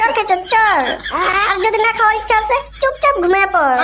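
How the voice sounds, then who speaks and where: A female-sounding, cartoonish character voice, extremely high in pitch, runs at a fairly quick pace over clear background noise. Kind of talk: comic cartoon dialogue.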